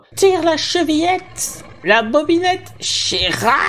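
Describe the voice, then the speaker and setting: A high-pitched, put-on character voice speaks at a fairly slow pace over clear background noise. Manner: softened, coaxing.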